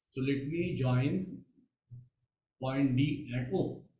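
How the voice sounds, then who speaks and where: The man's voice is somewhat breathy. Audible room echo surrounds it. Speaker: mathematics teacher. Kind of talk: online lecture. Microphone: too quiet at first, then adjusted.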